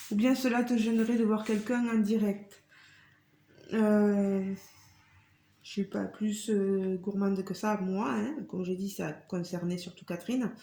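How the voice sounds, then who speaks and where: A woman speaks very slowly at a medium pitch, somewhat breathy, with a dark, mellow tone and fairly even intonation. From southwest France, Tarn (Carmaux). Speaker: craft YouTuber. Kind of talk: casual Q&A vlog. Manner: hesitant, many fillers.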